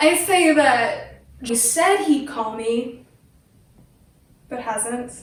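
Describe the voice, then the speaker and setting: A woman is speaking. Her pace is very slow. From Northwest Territories, Canada. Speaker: spoken word poet; research and development head at a biotech company. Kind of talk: spoken word poetry performance.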